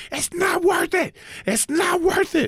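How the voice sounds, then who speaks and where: A put-on character voice shouts at an extremely high pitch. The pace is fairly slow. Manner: yelling, urgent.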